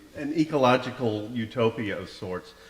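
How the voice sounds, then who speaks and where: A man speaks at a medium pitch with ordinary pitch variation. Noticeable background noise sits behind him. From Kentucky. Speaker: forum host. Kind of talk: interview.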